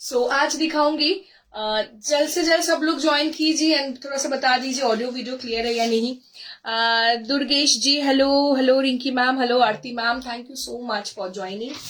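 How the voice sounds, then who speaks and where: Ordinary pitch variation and a fairly slow pace from a woman with a high voice. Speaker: online saree seller. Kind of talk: live sales stream. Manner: code-switching Hindi-English, hesitant fillers.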